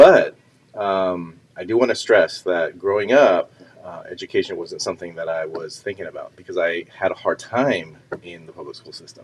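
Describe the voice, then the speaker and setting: A man talks at a moderate speed. Noticeable background noise accompanies him. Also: big swings in loudness. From US, Mexican American family. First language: Spanish. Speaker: educator and parent. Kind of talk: casual interview. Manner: hesitant, with many fillers.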